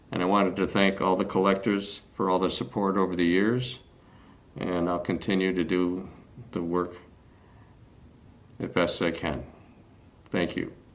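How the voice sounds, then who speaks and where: With an American accent and a very deep, low pitch, a man speaks at a moderate pace in a fairly even intonation, leaving long, frequent pauses, while audible room echo surrounds him. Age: 70s. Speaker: glass artist. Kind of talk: prepared presentation. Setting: video call.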